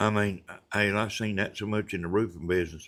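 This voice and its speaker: A man with a Southern US accent speaks at a moderate pace in a fairly low pitch, with ordinary pitch variation. The recording is very clean, with a silent background. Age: 70s. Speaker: retired roofer and livestreamer. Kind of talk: casual livestream chat. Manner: halting, many fillers.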